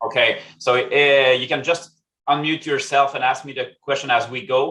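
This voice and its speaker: A man with a French-Canadian accent, fairly high-pitched and monotone, flat in intonation, at a moderate pace. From Quebec, Canada. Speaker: statistics consultant. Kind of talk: presentation. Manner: halting, many fillers.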